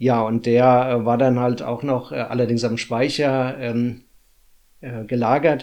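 A man speaks at a fairly slow pace in a medium pitch, his dark, mellow tone held to a flat monotone. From Hesse, Germany (Runkel near Limburg). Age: 40s. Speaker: municipal finance employee, descendant of expellees. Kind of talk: interview. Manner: halting, many filler sounds.

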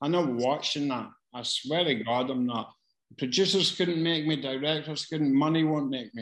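At a moderate pace, a man with a strong Glasgow accent talks in a fairly high pitch with ordinary variation. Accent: strong Glasgow Scottish. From Scotland. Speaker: casting director. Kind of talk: online Q&A session. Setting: video call. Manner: casual, sweary, self-deprecating; halting, hesitant delivery.

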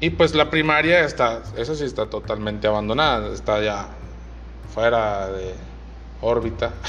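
Long, frequent pauses mark a man's speech at a fairly slow pace. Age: 20s. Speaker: podcaster. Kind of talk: casual monologue. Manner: halting.

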